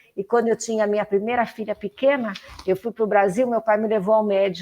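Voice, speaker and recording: In a dry, close recording with no echo, a woman talks fairly quickly in a fairly high, monotone voice with flat intonation. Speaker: political activist. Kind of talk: interview.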